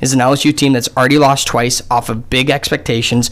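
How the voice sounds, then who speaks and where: Over noticeable background noise, a man with an American accent speaks very fast at medium pitch with fairly even intonation. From Columbus, Ohio. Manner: halting, repeats words.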